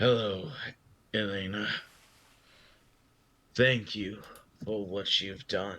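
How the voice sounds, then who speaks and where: A man puts on a raspy character voice with a fairly low pitch. He goes at a very slow pace, with long, frequent pauses. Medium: actual play. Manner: formal, determined.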